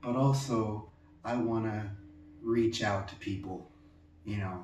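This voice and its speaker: A man at a very slow pace amid audible room echo. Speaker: pyrography artist. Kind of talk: personal message to viewers. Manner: halting, many fillers.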